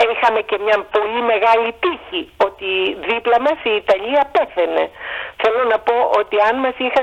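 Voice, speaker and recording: The speech moves at a moderate pace with lively intonation, over noticeable background noise. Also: woman. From Greece. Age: 60s. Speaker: historian, professor. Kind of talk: casual interview. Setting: phone call.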